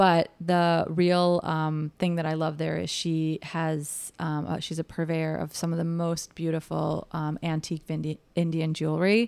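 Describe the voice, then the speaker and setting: The speech runs at a fairly slow pace with hardly any pauses and monotone, flat intonation. The recording is very clean, with a silent background. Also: woman, fairly low pitch for a woman. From Chicago, US Midwest. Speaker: vintage store owner and event organizer. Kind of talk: casual interview.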